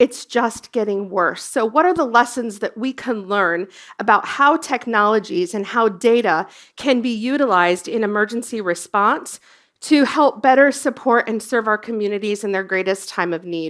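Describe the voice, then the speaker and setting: With an American accent, a woman with a plain, everyday voice talks at a moderate pace, her fairly high pitch carrying lively intonation on a very clean recording with a silent background. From US, Colorado. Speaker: emergency services industry executive, former dispatcher. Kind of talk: conference presentation.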